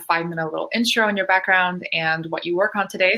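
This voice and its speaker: A woman with a Canadian accent talks at a very fast pace. Her medium-pitched voice has a bright, sharp tone and ordinary pitch variation. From Canada. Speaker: panel moderator. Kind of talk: panel introduction.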